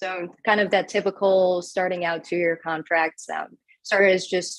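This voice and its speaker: Speaking with a Chicago accent, a woman keeps a fairly low pitch, fairly even intonation and a moderate pace. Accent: Chicago accent, noticeable. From Chicago area, Orland Park. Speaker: radio news anchor. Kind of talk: interview.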